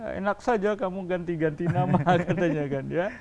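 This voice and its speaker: A man with a high pitch talks at a moderate pace with ordinary pitch variation over noticeable background noise. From West Sumatra, Padang Pariaman (Minangkabau). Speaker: lawyer. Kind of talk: interview.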